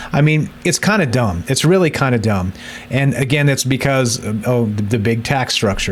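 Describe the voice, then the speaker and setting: A man speaks fairly quickly with an American accent and ordinary pitch variation. Noticeable background noise is present. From United States. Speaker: crypto gaming youtuber. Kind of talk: casual tutorial video. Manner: casual, with fillers and repetitions.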